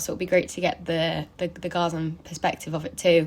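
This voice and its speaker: Speaking at a fairly quick pace, a woman with an English accent keeps a fairly low pitch and a flat, monotone intonation. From England. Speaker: performance artist interviewing for a project. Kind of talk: interview. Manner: halting, filler words.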